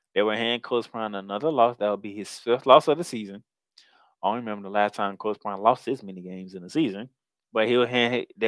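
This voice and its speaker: A man speaks at a fairly quick pace in an ordinary speaking voice. His pitch is medium and his intonation fairly even. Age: 30s. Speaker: college football podcast host. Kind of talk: casual sports talk.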